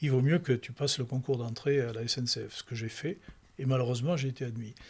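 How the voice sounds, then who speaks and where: Speaking very fast, a man with a medium-pitched, somewhat breathy voice keeps his intonation fairly even. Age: 80s+. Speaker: retired entertainment professional and author. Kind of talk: interview. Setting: book fair. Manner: halting, many repetitions and restarts.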